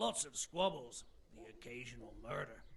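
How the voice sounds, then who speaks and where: A man puts on a raspy character voice at a moderate pace. Clear background noise can be heard. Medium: video game. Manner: blunt, weary, matter-of-fact.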